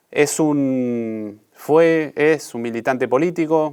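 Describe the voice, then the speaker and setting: A man's ordinary pitch variation comes across on a very clean recording with a silent background. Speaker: interviewer, podcast host. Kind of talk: interview. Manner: halting, many fillers.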